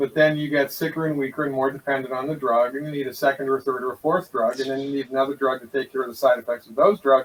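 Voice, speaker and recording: The speech runs very fast with hardly any pauses. The intonation stays flat and monotone. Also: man, fairly high pitch for a man. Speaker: naturopathic doctor. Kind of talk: interview.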